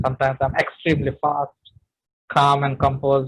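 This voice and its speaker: There is a somewhat breathy quality to the man's voice. He moves along at a fairly quick pace. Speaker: public speaking trainer. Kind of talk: webinar talk.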